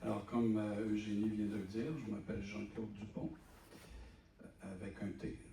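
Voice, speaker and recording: Long, frequent pauses break up a man's speech, which has a moderate pace and fairly even intonation in audible room echo. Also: fairly low pitch for a man. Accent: Quebec. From Quebec. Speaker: real estate developer and election candidate. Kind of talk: public meeting presentation. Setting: public meeting in a village hall.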